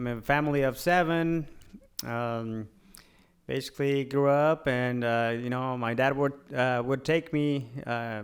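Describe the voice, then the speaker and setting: A man speaks with a Spanish accent. His pace is fairly slow and his intonation fairly even. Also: medium pitch for a man. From Mexico, moved to US at eleven. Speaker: realtor and real estate investor. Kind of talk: podcast interview. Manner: halting, many fillers.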